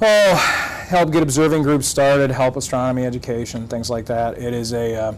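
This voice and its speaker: At a moderate pace, a man talks in a medium pitch, with noticeable background noise and audible room echo. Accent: Michigan. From Michigan. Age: 40s. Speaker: math and astronomy teacher. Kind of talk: interview. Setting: studio. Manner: hesitant, many fillers.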